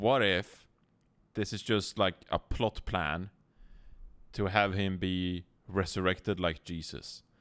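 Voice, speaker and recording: A man with a Swedish accent speaks at a very slow pace in a very deep, low pitch, his intonation fairly even. Long, frequent pauses break up his speech in a very clean recording with a silent background. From Sweden. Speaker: esports broadcast observer and podcast co-host. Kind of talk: casual chat.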